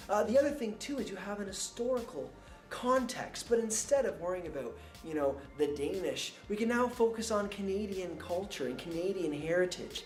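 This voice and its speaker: Moderate pace, with music in the background. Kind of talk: testimonial interview answer as a teacher.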